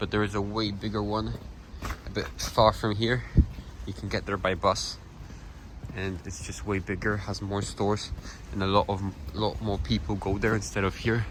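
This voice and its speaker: With a Polish accent, a man speaks at a moderate pace, pausing long and often. His pitch is fairly low and varies in an ordinary way. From Poland, Kalisz area. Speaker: travel vlogger. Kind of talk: walking vlog narration. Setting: outdoors, walking in winter city. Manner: casual, halting.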